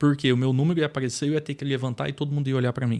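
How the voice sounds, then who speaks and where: A man talks at a medium pitch. Nothing else is heard in the very clean recording, its background silent. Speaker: businessman and trainer. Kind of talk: podcast interview, personal testimony.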